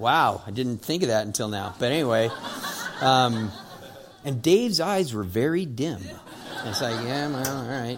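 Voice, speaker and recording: A man at medium pitch and a moderate pace, lively in intonation, with long, frequent pauses, audible room echo and noticeable background noise. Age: 60s. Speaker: pastor. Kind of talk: sermon. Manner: animated.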